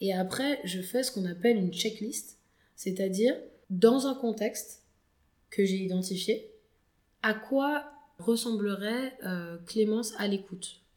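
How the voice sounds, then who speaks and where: With fairly high pitch and ordinary pitch variation, a woman speaks at a very slow pace. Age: 20s. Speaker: founder of a social enterprise on soft skills. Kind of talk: podcast interview. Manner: hesitant, many fillers.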